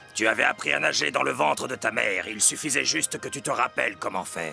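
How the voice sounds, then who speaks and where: Clear music plays in the background. A cartoonish character voice talks at a fairly quick pace. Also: man. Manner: measured, sage.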